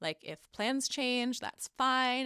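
Her tone is bright and sharp as a woman speaks. The sound is dry and close with no echo, in a very clean recording with a silent background. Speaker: podcast host and Reiki healer. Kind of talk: casual solo monologue; tarot reading. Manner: casual with frequent fillers and laughs.

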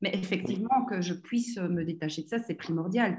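A woman's somewhat breathy voice of medium pitch, with ordinary pitch variation. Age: 40s. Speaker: entrepreneur. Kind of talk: interview. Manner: animated.

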